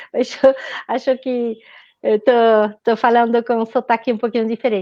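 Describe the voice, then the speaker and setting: Against a quiet background, a woman with a slight French accent speaks at a fairly quick pace in a fairly high pitch, her intonation monotone and flat and her tone dark and mellow. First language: French (speaking Portuguese). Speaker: nutritionist, author, researcher. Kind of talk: live webinar conversation. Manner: halting, repeats words.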